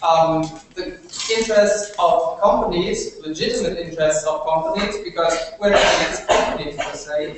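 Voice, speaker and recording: Over noticeable background noise and strong room echo, a man speaks with a German accent and ordinary pitch variation. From Germany. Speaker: university debater. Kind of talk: competitive debate speech. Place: classroom. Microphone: camera far.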